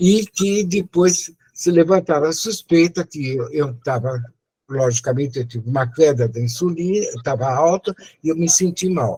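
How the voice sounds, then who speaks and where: Lively intonation marks this man's fairly high voice. His tone is dark and mellow, and his pace is moderate. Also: dry, close sound with no echo. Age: 80s+. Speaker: retired medical professor. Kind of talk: testimony.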